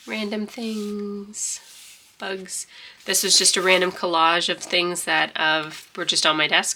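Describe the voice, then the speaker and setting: Her words come at a very slow pace. Behind the woman, noticeable background noise is present. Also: medium pitch for a woman, ordinary pitch variation. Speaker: journaling content creator. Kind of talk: casual show-and-tell flip through. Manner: casual, halting.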